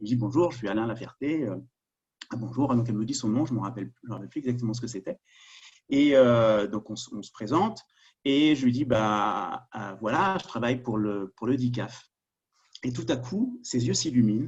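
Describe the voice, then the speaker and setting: In a Parisian accent, a man speaks at medium pitch and a moderate pace, his voice somewhat breathy. His loudness swings widely while his pitch varies in an ordinary way. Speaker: security sector governance expert. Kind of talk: webinar presentation. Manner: halting, many fillers.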